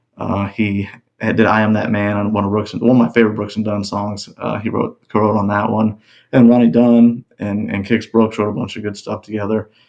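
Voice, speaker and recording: A man's mumbling, fairly low voice with a Texas accent and monotone, flat intonation. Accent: Texas drawl. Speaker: country singer. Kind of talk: casual interview chat.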